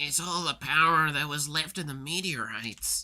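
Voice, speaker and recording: On a very clean recording with a silent background, a man puts on a character voice, fairly high in pitch with fairly even intonation. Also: moderate pace. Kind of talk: streamer reading game dialogue. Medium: game stream.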